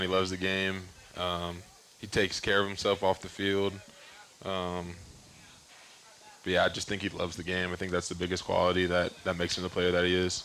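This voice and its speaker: A man with a very deep, low pitch speaks fairly quickly in a monotone, flat way, broken by long, frequent pauses. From Texas (Austin), born in Florida. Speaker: pro football tight end. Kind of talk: interview. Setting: live show at a restaurant.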